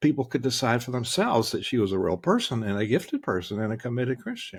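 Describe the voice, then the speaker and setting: Talking at a very fast pace, a man with an American accent has a medium pitch and a somewhat breathy sound. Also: ordinary pitch variation. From US South. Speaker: leadership strategist. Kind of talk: interview.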